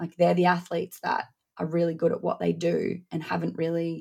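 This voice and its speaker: A woman is speaking. She has an Australian accent. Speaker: strength and conditioning coach. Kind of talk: interview.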